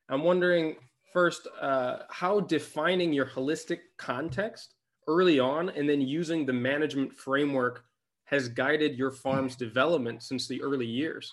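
An unremarkable speaking voice from a man, pitched fairly high and moving at a moderate pace. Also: ordinary pitch variation. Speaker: podcast host and interviewer. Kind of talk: interview, intro and outro read.

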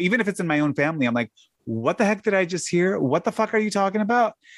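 On a very clean, dry, close recording with a silent background and no echo, a man with a Chicago accent speaks very fast at a high pitch, his pitch swinging very widely. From US Midwest (south side of Chicago). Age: 50s. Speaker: podcaster and tax business owner. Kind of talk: casual chat.

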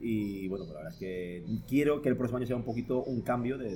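Somewhat breathy and dark, mellow in tone, a man talks at a very fast pace and medium pitch with lively intonation. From Palencia, northern Spain. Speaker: photographer and photo-editing teacher. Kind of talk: casual interview. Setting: studio recording with drinks.

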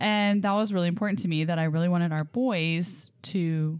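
In a very clean recording with a silent background, a woman with fairly low pitch talks at a moderate pace. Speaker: host mom and podcast host. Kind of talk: casual chat. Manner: animated.

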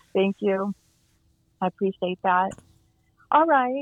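This woman's medium-pitched voice moves at a moderate pace and shows ordinary pitch variation. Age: 50s. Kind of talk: interview.

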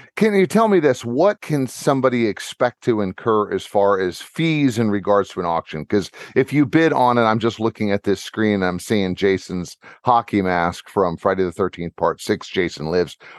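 A man with an American accent and an ordinary speaking voice talks at a moderate pace, fairly low in pitch, with lively intonation. The sound is dry and close with no echo against a quiet background. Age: 50s. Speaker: podcast host, retired corrections officer. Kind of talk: casual interview.

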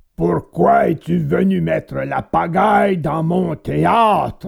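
A man puts on a growling character voice at a fairly high pitch, speaking at a fairly slow pace.

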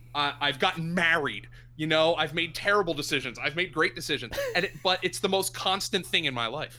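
A bright, sharp tone with vocal fry, an American accent, ordinary pitch variation, and a fairly quick pace. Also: man, fairly high pitch for a man. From southeastern Pennsylvania (Lehigh Valley). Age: 30s. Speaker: sports radio host and fantasy football analyst. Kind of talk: podcast interview.

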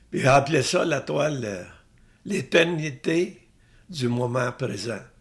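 Somewhat breathy, a man with a medium pitch speaks with lively intonation. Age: old. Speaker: painter. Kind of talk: interview. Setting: artist's studio.

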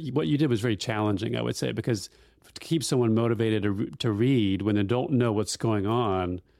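The man has a normal speaking voice at medium pitch. His pace is moderate, and his pitch varies in an ordinary way. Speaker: podcast host. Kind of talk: casual interview chat.

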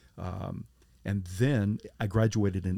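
A man with a fairly low pitch and fairly even intonation at a very slow pace, on a very clean recording with a silent background. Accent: American. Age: 50s. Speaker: pastor. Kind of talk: testimony. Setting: camper van mobile studio.

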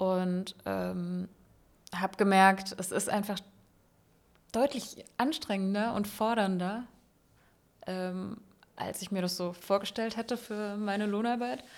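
A woman at a very slow pace, with fairly even intonation and long, frequent pauses. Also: medium pitch for a woman. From Palatinate, Germany. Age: 30s. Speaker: engineer and works council member. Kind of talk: interview. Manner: hesitant, many fillers.

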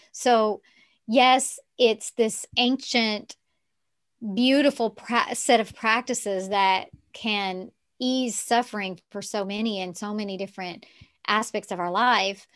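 A woman with an American accent speaks at a fairly high pitch and a very slow pace. Her intonation is fairly even, but her loudness swings widely. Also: quiet background. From Texarkana, US South. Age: 50s. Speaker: yoga teacher and coach. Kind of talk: casual interview chat.

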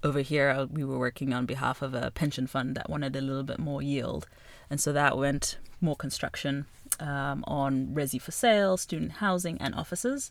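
Vocal fry marks this woman's very deep, low voice as she speaks at a moderate pace with ordinary pitch variation. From Zimbabwe, Harare. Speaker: real estate finance executive. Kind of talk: interview.

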